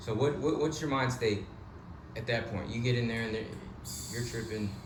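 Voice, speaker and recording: Noticeable background noise sits behind a man talking at a moderate pace. His pitch is medium and his intonation fairly even. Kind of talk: casual interview host.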